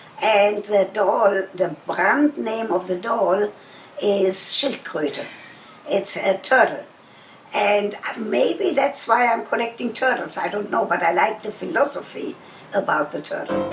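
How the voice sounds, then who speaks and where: A woman with a German accent speaks at a fairly slow pace and medium pitch, with lively intonation. Noticeable background noise is present. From Germany. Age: 80s+. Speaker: sex therapist. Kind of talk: interview answer. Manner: forthright, motherly.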